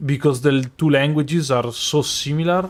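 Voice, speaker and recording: This man speaks with an Italian accent and ordinary pitch variation. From Italy. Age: 20s. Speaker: streamer. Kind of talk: casual chat. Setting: live stream.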